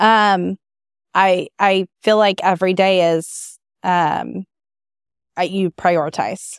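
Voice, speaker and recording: A woman with a US Midwestern accent speaks at medium pitch in a monotone, flat intonation, at a very slow pace with long, frequent pauses and very even loudness, on a very clean, dry, close recording with a silent background and no echo. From Kansas, US Midwest. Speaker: event planner and entrepreneur. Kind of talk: interview.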